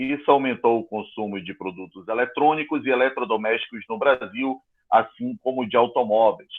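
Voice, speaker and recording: Pitch shifts in an ordinary way. The speed stays moderate. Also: man. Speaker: school teacher. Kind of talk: online class lesson.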